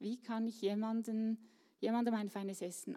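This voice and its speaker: A woman is speaking. Her tone is dark and mellow. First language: Swiss German (speaking German). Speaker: church volunteer. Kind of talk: interview. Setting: stage with audience.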